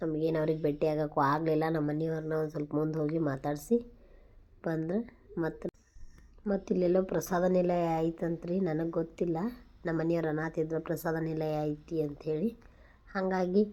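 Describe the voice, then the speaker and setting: With a North Karnataka accent, a woman speaks in a fairly low pitch and a dark, mellow tone with fairly even intonation. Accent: north Karnataka Kannada dialect. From northern Karnataka, near Saundatti (Belagavi district). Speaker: vlogger, mother. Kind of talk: travel vlog narration. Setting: outdoors, traveling. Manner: conversational, informal.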